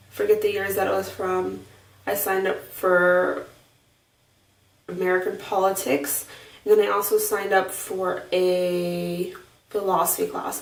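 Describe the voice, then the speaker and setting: A woman speaks quietly and fairly slowly at a medium pitch, with long, frequent pauses and flat, monotone intonation. Room echo can be heard. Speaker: vlogger. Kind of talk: video diary. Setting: home bathroom. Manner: hesitant, many fillers.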